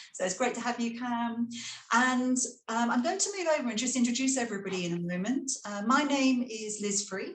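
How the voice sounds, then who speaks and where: Someone speaks with a British accent over noticeable background noise. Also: woman. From Britain. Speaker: school leader and panel moderator. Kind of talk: webinar panel moderation.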